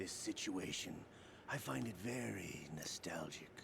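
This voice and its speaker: A man whispers in a put-on character voice with a calm, theatrical tone at a moderate pace. Loud background noise fills the recording. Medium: video game.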